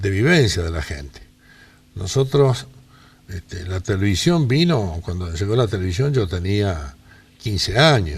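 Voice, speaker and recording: A man's somewhat breathy voice at a fairly slow pace, with very wide pitch swings. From Rosario, Argentina. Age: 80s+. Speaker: interviewee. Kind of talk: life-story interview.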